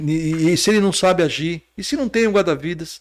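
The recording is dry and close, with no echo. A man talks in a high pitch. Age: 50s. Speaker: entrepreneur and water safety volunteer educator. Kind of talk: podcast interview.

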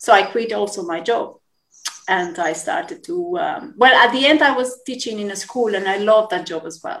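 A woman with a Spanish accent speaks in a fairly high voice at a moderate pace. Her pitch swings very widely and her loudness swings a lot. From Colombia. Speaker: yoga teacher. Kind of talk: interview.

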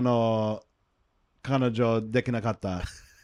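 A man with an English accent at a very slow pace against a quiet background. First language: English (speaking Japanese). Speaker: podcast co-host, Japanese learner and former English teacher. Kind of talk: casual bilingual chat. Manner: halting in Japanese.

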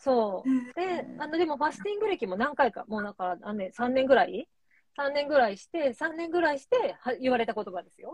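A woman speaks fairly quickly in a high pitch. Her voice swings very widely in pitch and loudness. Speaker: clinical psychologist. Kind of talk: interview conversation. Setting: Instagram live stream.

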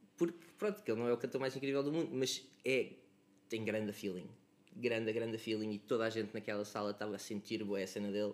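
This man's medium-pitched voice races along at a very fast pace. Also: ordinary pitch variation. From Lisbon area, Portugal (Cascais–Oeiras line). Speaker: musician. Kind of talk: casual chat.

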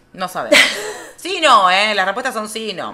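Speaking at a fairly quick pace in a Rioplatense accent, a woman uses lively intonation over noticeable background noise. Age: 30s. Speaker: podcast co-host. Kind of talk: casual chat.

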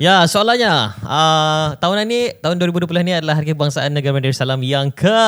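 A man uses an ordinary speaking voice, talking at a fairly quick pace with fairly high pitch, lively intonation and very even loudness. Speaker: podcast co-host. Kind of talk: casual chat.

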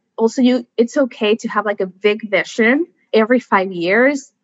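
A woman with an American accent talks at a fairly high pitch and a fairly slow pace with ordinary pitch variation. The sound is dry and close, with no echo. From Mexico, US border area. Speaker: environmental scientist. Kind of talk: casual interview. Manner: animated.

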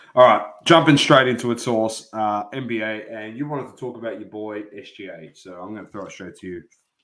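A man with an Australian accent speaks at medium pitch and a moderate pace, his loudness swinging widely. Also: ordinary pitch variation. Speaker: sports podcast co-host. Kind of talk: casual chat.

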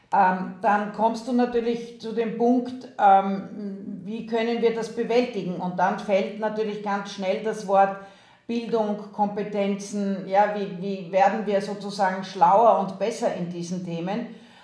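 In a room with audible echo, a woman speaks very slowly at a medium pitch with monotone, flat intonation. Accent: Austrian. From Austria. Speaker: university president. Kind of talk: interview. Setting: video call.

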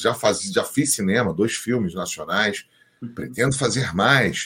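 Very wide pitch swings around a medium male pitch. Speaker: voice actor. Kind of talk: casual chat.

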